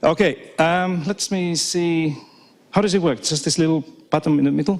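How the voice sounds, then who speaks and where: A man with a non-native accent speaks at a moderate pace. His pitch is high, and his intonation is fairly even. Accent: non-native, audibly foreign. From Finland. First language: Finnish and Swedish. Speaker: professor. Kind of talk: keynote talk. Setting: stage with audience. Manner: repetitive false starts.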